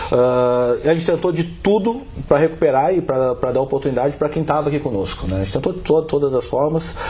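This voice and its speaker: Noticeable background noise sits behind a man's fairly high voice. He speaks at a fairly quick pace with lively intonation. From southern Brazil. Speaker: football club executive. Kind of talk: interview.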